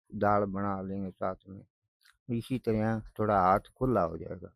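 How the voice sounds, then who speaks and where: A man's dry, close voice with no echo, fairly low in pitch and monotone, with flat intonation. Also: big swings in loudness. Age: 70s. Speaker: aid recipient, elderly villager. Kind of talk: interview answers.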